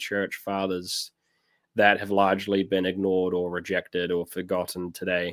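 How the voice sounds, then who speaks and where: On a very clean recording with a silent background, a man talks in a New Zealand accent. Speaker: pastor. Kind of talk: casual chat.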